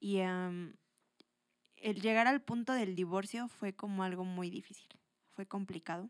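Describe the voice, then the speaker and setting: Using a medium pitch and fairly even intonation, a woman speaks at a very slow pace in a dry, close sound with no echo. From Mexico, Toluca. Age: 20s. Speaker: churchgoer sharing her faith story. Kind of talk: testimony.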